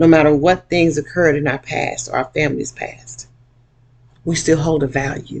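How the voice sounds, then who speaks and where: This woman talks at a moderate pace with a very deep, low pitch and vocal fry. Her intonation is monotone and flat. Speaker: motivational speaker and workshop presenter. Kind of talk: personal video monologue. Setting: laptop webcam video. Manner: emotional, emphatic. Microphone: laptop recording.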